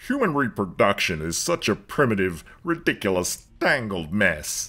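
A man puts on a cartoonish character voice at a medium pitch. His pace is moderate. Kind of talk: animated comedy sketch dialogue. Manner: formal, dry.

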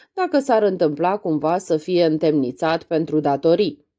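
A woman with an unremarkable speaking voice uses lively intonation at a fairly slow pace. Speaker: audiobook reader. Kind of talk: audiobook reading of a literary novella.

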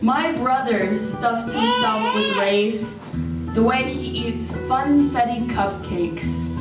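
Over loud background noise and audible room echo, a woman speaks at a very slow pace. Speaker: poet. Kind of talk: poetry reading. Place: hall.

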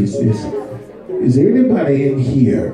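There is noticeable background noise and audible room echo as a man talks at a fairly slow pace. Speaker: guest preacher. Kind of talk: sermon. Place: church. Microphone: camera far.

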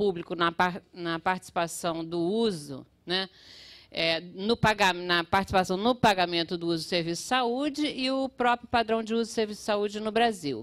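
A woman talks over a quiet background at a moderate pace, her pitch moving in an ordinary way. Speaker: public health researcher; panel lecturer. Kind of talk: conference talk with slides. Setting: auditorium with audience. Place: hall. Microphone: podium.

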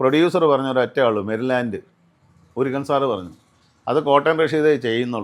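The man has a plain, everyday voice. His pitch is medium, with ordinary variation. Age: 60s. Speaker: serial and film actor. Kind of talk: casual interview.

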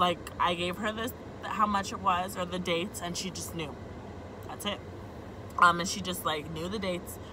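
A woman talks at a moderate pace over noticeable background noise. The sound is dry, with no echo. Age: 20s. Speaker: vlogger. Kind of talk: rant to camera. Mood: annoyed, exasperated. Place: car. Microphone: phone near.

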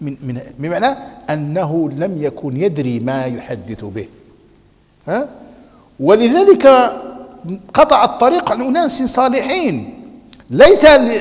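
A man's high-pitched voice in a Moroccan accent, very slow with long, frequent pauses, very wide pitch swings and big swings in loudness. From Morocco. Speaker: Islamic scholar and preacher; preacher. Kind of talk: religious lecture.

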